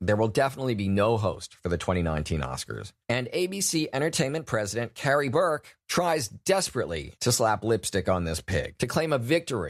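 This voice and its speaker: With very wide swings in pitch, a man talks using vocal fry. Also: medium pitch for a man, fairly quick pace, very clean recording, silent background. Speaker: podcast host. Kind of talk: podcast commentary.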